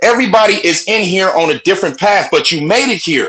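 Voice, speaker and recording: A man shouting in a raised, projected voice, high-pitched, bright and sharp in tone, with lively intonation at a fairly quick pace. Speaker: call participant sharing advice. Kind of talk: group call discussion. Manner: passionate; loud, sounds like yelling.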